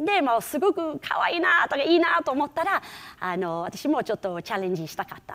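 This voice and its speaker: Her pitch high and swinging very widely, a woman talks at a fairly quick pace with big swings in loudness. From England, Liverpool; England. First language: English (speaking Japanese). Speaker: rakugo performer; keynote speaker, comic storyteller. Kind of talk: keynote talk. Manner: animated. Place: hall. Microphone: lapel.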